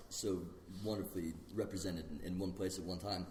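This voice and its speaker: A man's fairly low, somewhat breathy voice with a dark, mellow tone, at a very fast pace amid audible room echo. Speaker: martial arts instructor. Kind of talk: casual chat. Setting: podcast recording while eating pizza.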